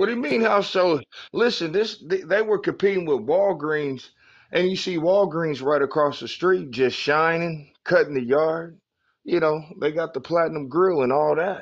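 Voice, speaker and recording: Spoken at a moderate pace in a normal speaking voice with an American accent, this clip has ordinary pitch variation over a quiet background. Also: man, fairly high pitch for a man. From Oklahoma. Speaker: podcast co-host. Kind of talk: casual chat.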